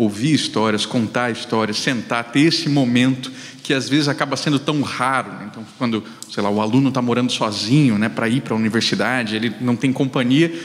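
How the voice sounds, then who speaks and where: Fairly quick speech from a medium-pitched man over noticeable background noise. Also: ordinary pitch variation. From Brazil, Mato Grosso do Sul. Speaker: communication professor. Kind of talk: panel discussion.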